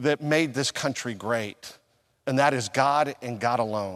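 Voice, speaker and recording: This man talks at a fairly slow pace with lively intonation. He has an unremarkable speaking voice. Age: 50s. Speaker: pastor. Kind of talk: sermon.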